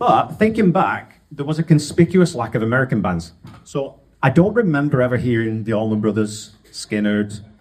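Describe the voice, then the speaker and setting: A man's pitch swings very widely as he speaks at a moderate pace. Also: medium pitch for a man. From northern England (Wigan). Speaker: podcast host. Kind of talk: storytelling talk to an audience. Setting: stage with audience. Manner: casual, joking.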